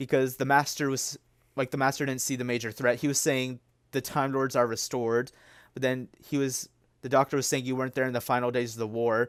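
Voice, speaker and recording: On a very clean recording with a silent background, a man talks fairly quickly at a medium pitch, the sound dry and close with no echo. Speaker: YouTuber reviewing TV episodes. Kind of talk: casual review monologue. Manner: fast; animated.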